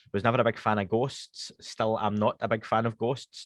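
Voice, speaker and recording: Recorded dry and close with no echo against a quiet background, a man with a Scottish accent talks at a medium pitch. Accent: Scottish, toned down to be slower and posher. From Scotland, Glasgow west end. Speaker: podcast host (guest here). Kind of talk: casual interview chat. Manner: fast when speaking Scots.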